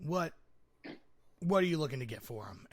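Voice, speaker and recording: A man puts on a character voice, fairly high in pitch. He keeps a moderate pace. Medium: actual play. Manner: gruff, haggling.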